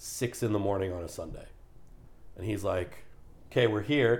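This man talks at a fairly slow pace in a fairly low pitch. His voice is somewhat breathy. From Canada. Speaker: podcast guest, gym-goer. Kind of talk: casual chat. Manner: animated storytelling.

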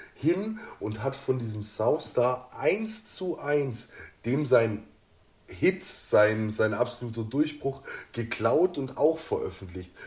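The voice moves through very wide pitch swings. Its pace is very slow. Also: man, medium pitch for a man. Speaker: podcast co-host. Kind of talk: casual chat.

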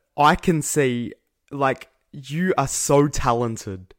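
On a very clean recording with a silent background, a man uses an unremarkable speaking voice, fairly high in pitch with ordinary pitch variation. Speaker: podcast host. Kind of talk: casual chat.

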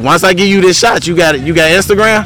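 Noticeable noise sits in the background. The speech moves at a moderate pace. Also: man. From Detroit, US Midwest. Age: 40s. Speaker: podcast host. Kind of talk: casual chat. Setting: outdoors in a park.

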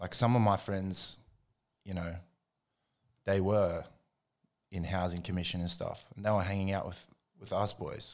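A man speaks in an Australian accent with a very deep, low pitch and flat, monotone intonation at a moderate pace. He leaves long, frequent pauses, and the recording is very clean with a silent background. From Australia, Jindabyne and Canberra. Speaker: hip hop producer. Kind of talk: casual chat.

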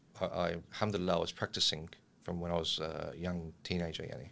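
This voice carries an Australian accent. It moves along at a fairly quick pace. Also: man. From Australia, Lebanese family. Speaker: political analyst and volunteer. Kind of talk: casual interview.

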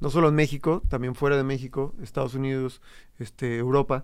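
This is a normal speaking voice, moving at a moderate pace with fairly even intonation. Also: man. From Morelos, Mexico. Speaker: DJ and creative entrepreneur. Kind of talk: casual chat.

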